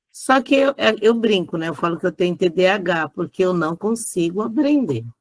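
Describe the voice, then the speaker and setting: Her medium-pitched voice swings very widely in pitch, and the woman's sound is dry and close with no echo. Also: moderate pace. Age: 50s. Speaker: student. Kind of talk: casual chat. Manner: hesitant.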